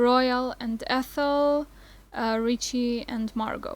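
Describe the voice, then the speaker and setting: Speaking with a non-native accent, a woman keeps a high pitch and fairly even intonation. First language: not English. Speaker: film vlogger. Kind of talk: casual video review.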